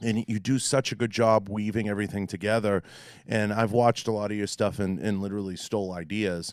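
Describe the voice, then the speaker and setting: In a Boston accent, a man with a fairly low pitch speaks at a fairly quick pace in a monotone, flat intonation. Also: very clean recording, silent background. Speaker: podcast host. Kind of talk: podcast interview.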